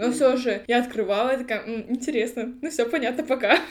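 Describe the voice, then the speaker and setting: A woman's high-pitched voice moves at a moderate pace, its intonation fairly even. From Kazakhstan, Almaty. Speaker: podcast host, queer activist. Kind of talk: casual chat. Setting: studio, face to face.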